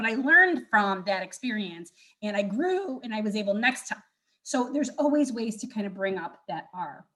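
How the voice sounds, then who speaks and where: Animated and bright, with a sharp tone, a woman speaks at a fairly high pitch. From US, Buffalo NY. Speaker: career center director. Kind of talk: workshop presentation. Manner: fast.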